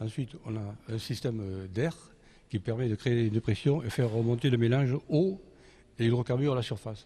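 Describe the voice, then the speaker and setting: Speaking at a moderate pace and medium pitch, a man has a dark, mellow, somewhat breathy tone with ordinary pitch variation. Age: 70s. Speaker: inventor and engineer. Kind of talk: interview. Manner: halting.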